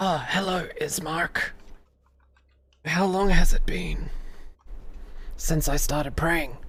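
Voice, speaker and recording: A raspy, put-on character voice sits at a middle pitch. It moves at a fairly slow pace with long, frequent pauses. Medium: actual play.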